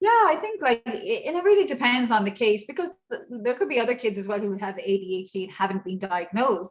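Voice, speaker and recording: Racing along at a fairly quick pace with hardly any pauses, the voice shows very wide pitch swings and big swings in loudness. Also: woman, high pitch for a woman. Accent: Irish. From Ireland. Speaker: martial arts instructor and inclusion trainer. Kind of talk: workshop Q&A.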